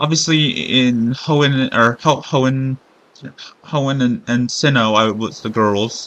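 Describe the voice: Plain reading aloud. The pitch variation is ordinary.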